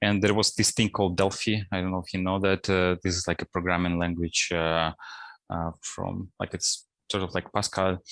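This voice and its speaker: Recorded dry and close with no echo, a man's voice sits on a very clean recording with a silent background. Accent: Russian. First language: Russian. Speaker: principal data scientist. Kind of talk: interview. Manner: hesitant, many fillers.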